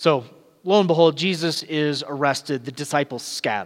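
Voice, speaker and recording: This man talks at a moderate pace with a fairly high pitch, ordinary pitch variation, and a slight Southern California accent. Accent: light Southern California. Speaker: pastor. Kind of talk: sermon. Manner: casual and halting with fillers.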